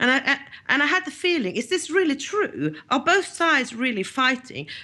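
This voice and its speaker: A woman with a Swedish accent talks at a fairly quick pace in a bright, sharp tone with very wide pitch swings. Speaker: journalist. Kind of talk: interview. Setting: podcast. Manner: halting.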